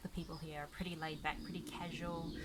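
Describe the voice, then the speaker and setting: A woman speaks with a New Zealand accent. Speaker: gaming YouTuber. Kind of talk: casual talk to camera. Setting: outdoors.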